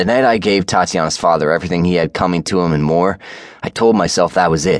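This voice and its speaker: In an intense, angry tone, a man speaks with a very deep, low pitch, ordinary pitch variation and vocal fry. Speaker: audiobook narrator. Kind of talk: dramatic first-person audiobook narration of a romance novel. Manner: intense, brooding, gritty, with angry growls and raw emotion; shifts into voices for dialogue, including a sobbing woman.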